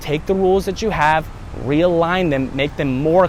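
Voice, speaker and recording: Over noticeable background noise, a man talks at a fairly quick pace and fairly high pitch with lively intonation. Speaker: self-help vlogger. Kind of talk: motivational talk. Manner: fast.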